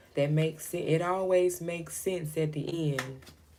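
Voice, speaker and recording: The soft-spoken voice is monotone and flat in intonation, with audible room echo and noticeable background noise. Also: woman. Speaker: tarot reader. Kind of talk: live stream tarot reading. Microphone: voice too quiet for current mic.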